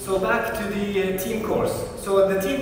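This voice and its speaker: A man at a moderate pace, with strong room echo and noticeable background noise. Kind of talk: lecture. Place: hall. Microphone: camera far.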